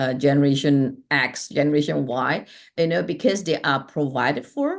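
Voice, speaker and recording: A moderate pace with ordinary pitch variation over a quiet background. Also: woman. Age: 60s. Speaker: life strategist and healer. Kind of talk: interview conversation.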